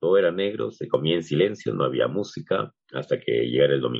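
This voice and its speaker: A man is speaking. His intonation is lively. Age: 40s. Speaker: psychologist and podcast host. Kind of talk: casual chat.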